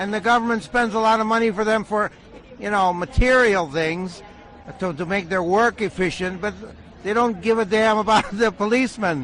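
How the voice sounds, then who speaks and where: A man talks at a fairly quick pace in a high voice with ordinary pitch variation. Noticeable background noise runs underneath. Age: 60s. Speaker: monk activist. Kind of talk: casual chat.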